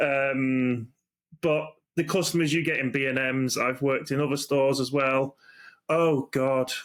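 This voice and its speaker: With a British accent, a man talks at a fairly slow pace, keeping his intonation fairly even and his loudness very even. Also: fairly high pitch for a man. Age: 40s. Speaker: podcast host. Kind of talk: casual chat.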